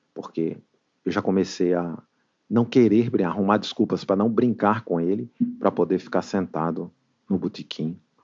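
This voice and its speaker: With a northeastern Brazilian accent, a man talks at a moderate pace with ordinary pitch variation. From Brazil, northeastern family. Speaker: recovering alcoholic, AA member. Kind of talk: testimony.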